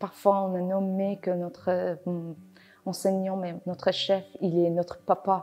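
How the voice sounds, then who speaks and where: Against music in the background, a woman of medium pitch speaks very slowly in a flat monotone. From Afghanistan. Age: 20s. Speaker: award-winning cooking apprentice. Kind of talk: interview testimony. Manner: halting, many hesitations.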